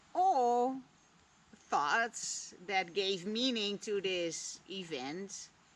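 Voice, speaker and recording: In a Dutch accent, a woman with a medium pitch speaks at a very slow pace with lively intonation. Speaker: vlogger. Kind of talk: reflective monologue.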